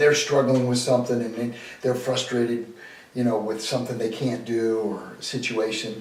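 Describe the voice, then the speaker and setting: A man speaks at a moderate pace and medium pitch. Audible room echo and noticeable background noise are present. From Boston. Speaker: sales coach. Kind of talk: interview. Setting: at home dining table.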